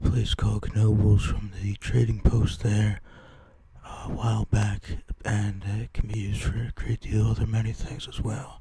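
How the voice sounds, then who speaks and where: A soft-spoken man at a fairly slow pace. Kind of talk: ASMR haul video, casual talk to camera.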